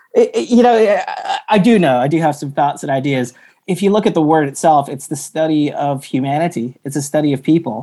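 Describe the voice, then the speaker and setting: With an American accent and a dark, mellow tone, a man talks at a fairly quick pace with hardly any pauses, his fairly high pitch moving in lively intonation over a very clean recording with a silent background. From US South, Atlanta. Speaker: anthropologist and internal communications consultant. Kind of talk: casual interview.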